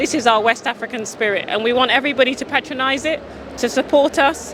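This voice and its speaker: A raised, projected voice with a British accent goes at a fairly quick pace with fairly even intonation amid noticeable background noise. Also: woman. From UK. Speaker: drinks entrepreneur. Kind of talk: sales pitch. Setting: community event.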